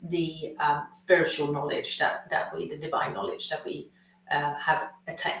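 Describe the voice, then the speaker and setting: Audible room echo surrounds a woman talking at a fairly slow pace. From Sweden. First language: Swedish. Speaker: consciousness coach and healer. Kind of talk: webinar masterclass presentation.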